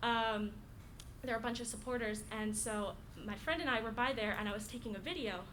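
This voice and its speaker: Over noticeable background noise and audible room echo, a woman talks at a fairly quick pace with a fairly high pitch. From Florida, US. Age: 19. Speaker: college student. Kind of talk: casual introduction and story. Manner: halting, many fillers.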